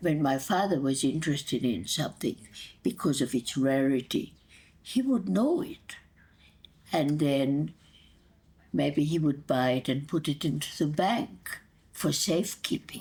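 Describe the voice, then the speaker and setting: A woman speaks at a fairly slow pace in a very deep, low voice with vocal fry. Her pitch swings very widely, and she takes long, frequent pauses. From Hungary, Budapest. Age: 80s+. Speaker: grandmother telling life story. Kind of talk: oral history interview.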